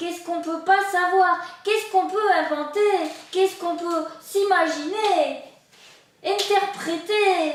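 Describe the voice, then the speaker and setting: A woman uses a put-on character voice with an extremely high pitch. She speaks at a moderate pace with a slight echo. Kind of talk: improvised clown comedy. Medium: stage. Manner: playful, naive.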